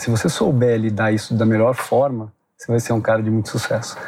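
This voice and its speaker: The speaker is a man with a medium pitch. He talks at a fairly quick pace. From Brazil, Curitiba. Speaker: tech company executive. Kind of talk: interview. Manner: halting, many fillers.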